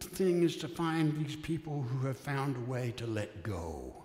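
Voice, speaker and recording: A man's voice amid audible room echo and noticeable background noise. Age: 70s. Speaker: retired minister. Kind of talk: sermon. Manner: conversational, reflective.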